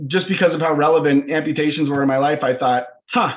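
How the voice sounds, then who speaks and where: This is a man speaking. His pitch is fairly high. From US, Northern Colorado. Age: 20s. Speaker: startup CEO. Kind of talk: video call presentation.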